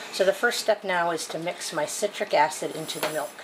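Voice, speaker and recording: A woman with an ordinary speaking voice talks at a moderate pace in a fairly low pitch, with light background noise behind her. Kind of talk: tutorial. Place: kitchen. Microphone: phone near.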